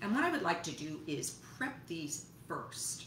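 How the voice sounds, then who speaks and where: Light background noise and audible room echo. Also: woman. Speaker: home cooking host. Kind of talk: cooking tutorial. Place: kitchen. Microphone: camera far.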